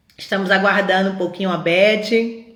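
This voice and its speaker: A woman talking at a medium pitch is heard with audible room echo. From Pernambuco, Brazil. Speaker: feminist collective live host. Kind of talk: live stream introduction. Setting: online live stream. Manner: halting, with repeated words and fillers.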